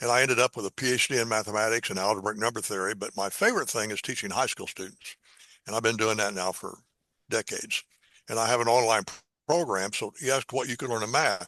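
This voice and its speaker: A man's bright, sharp voice in an American accent, very fast, with fairly even intonation, a quiet background and a dry, close sound with no echo. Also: medium pitch for a man. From US Midwest, Indiana. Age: 80s+. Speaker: math educator. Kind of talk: interview.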